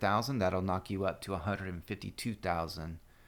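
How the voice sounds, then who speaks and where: An unremarkable speaking voice from a man, with fairly even intonation. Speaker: gaming guide youtuber. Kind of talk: tutorial.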